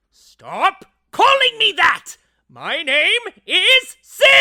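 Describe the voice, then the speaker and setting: This cartoonish character voice sits at an extremely high pitch. It moves at a very slow pace. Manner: shrill, self-important.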